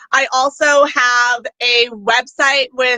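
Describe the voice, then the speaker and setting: A woman's raised, projected, high-pitched voice with a bright, sharp tone and a New York accent, dry and close with no echo. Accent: sounds like a New York. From Okanagan, British Columbia, Canada. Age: 20s. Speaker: pageant contestant and motivational speaker. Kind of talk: interview.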